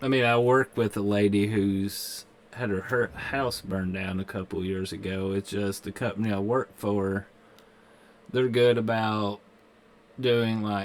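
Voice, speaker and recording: A man speaks in a Kentucky accent at a fairly slow pace. His fairly low voice keeps a fairly even intonation. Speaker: gaming streamer. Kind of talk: live game stream commentary. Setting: live stream. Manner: casual.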